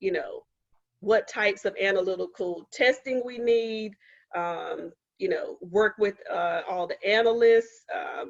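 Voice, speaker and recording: An unremarkable speaking voice moves at a fairly slow pace with lively intonation. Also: woman, fairly high pitch for a woman. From Eastern North Carolina, Goldsboro. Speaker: scientist and STEM policy advisor giving a seminar. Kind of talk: seminar talk. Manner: frequent fillers (um, uh).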